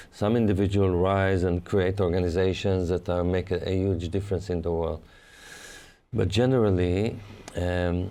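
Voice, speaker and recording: In a dark, mellow tone, the voice holds very even loudness and a monotone, flat intonation. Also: man. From Israel. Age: 60s. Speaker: adventurer and speaker. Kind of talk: interview.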